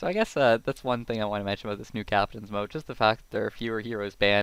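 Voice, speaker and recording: On a very clean recording with a silent background, a man at medium pitch talks at a very fast pace. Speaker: esports game commentator. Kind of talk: live commentary. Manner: animated.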